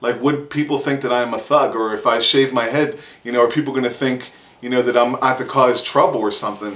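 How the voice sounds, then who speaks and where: Speaking at a fairly quick pace with a Pittsburgh accent, a man's medium-pitched voice comes through over noticeable background noise. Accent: Pittsburgh accent, stronger when excited. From Pittsburgh, US. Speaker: vlogger. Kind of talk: casual vlog monologue. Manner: animated.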